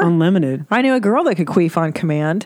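With an American accent, a man speaks at a very fast pace in a high pitch on a very clean recording with a silent background. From US Midwest. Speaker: actor and comedian. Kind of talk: casual chat. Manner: soft-spoken.

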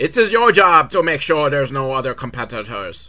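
A shaky, put-on character voice from a man, fairly high in pitch, with very wide pitch swings and a fairly quick pace. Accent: Irish.

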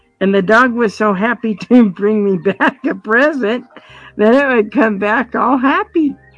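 With an American accent and a plain, everyday voice, a woman talks at a fairly slow pace in a fairly high pitch with ordinary pitch variation. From Colorado. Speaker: blind guide dog user. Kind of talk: interview.

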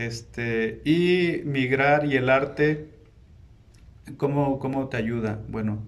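Speaking at a medium pitch with fairly even intonation, a man's voice carries audible room echo. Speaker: painter. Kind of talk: casual interview. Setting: museum, in person.

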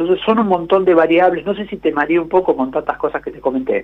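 A man speaks with ordinary pitch variation. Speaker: economics columnist. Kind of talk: radio interview.

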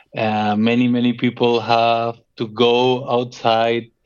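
Speaking very slowly with a Colombian accent, a man holds a medium pitch in a monotone, flat delivery. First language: Spanish. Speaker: expat worker. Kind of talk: casual chat.

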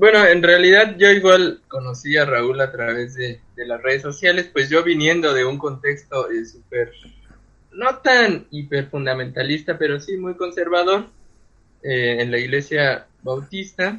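Pitched fairly high, a man talks in an unremarkable speaking voice. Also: lively intonation, fairly slow pace. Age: 30s. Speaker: literature doctoral student and author. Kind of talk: casual chat.

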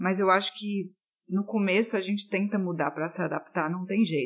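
Over noticeable background noise, a woman talks at a fairly quick pace, with a medium pitch and fairly even intonation. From Brazil, Fortaleza (Ceará). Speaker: creative director. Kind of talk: recorded voice message answering a question.

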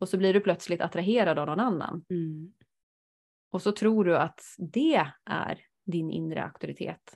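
Using a plain, everyday voice, a woman speaks at a fairly slow pace with a fairly low pitch and ordinary pitch variation. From rural Sweden. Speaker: podcast host, human design reader. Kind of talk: casual chat.

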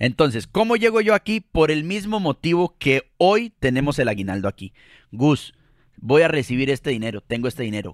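In a Costa Rican accent, a man speaks at a moderate pace with an animated tone and very wide pitch swings, in a dry, close sound with no echo. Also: fairly high pitch for a man, very clean recording, silent background. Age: 30s. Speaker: podcast co-host, communicator. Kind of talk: casual chat.

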